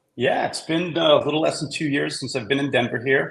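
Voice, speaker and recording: There is vocal fry in this voice. The speaker talks with a Boston accent. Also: man. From Boston, US East Coast. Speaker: brewery CEO. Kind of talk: podcast interview.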